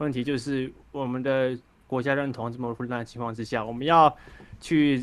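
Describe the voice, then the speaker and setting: A man's flat, monotone delivery at a moderate pace. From Taiwan, Penghu islands; Taiwan. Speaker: caller. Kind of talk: call-in political discussion. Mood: calm, reflective political talk.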